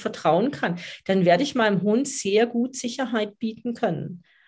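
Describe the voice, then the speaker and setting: A woman with an ordinary speaking voice talks at a fairly slow pace, her medium pitch showing ordinary pitch variation against a quiet background. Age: 50s. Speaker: dog coach. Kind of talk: podcast interview.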